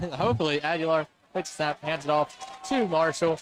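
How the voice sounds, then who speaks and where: A man with a fairly high pitch keeps a moderate pace while noticeable background noise carries on. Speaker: play-by-play announcer. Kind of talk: live commentary. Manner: loud.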